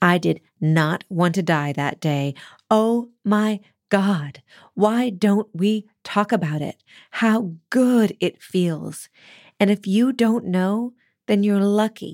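A woman talks at a very slow pace in a warm tone with ordinary pitch variation. The recording is very clean, with a silent background and a dry, close sound with no echo. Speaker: poetry podcast host. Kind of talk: reading a poem aloud with rising, ecstatic spoken-word energy. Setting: studio. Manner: exuberant and conversational, building to jubilant exclamations; warm, reflective and intimate in the introduction.

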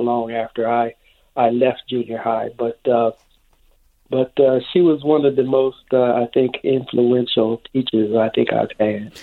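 With a normal speaking voice, a man talks at a fairly slow pace, at medium pitch and with fairly even intonation. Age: 60s. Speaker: radio caller. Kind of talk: phone-in call. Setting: phone call.

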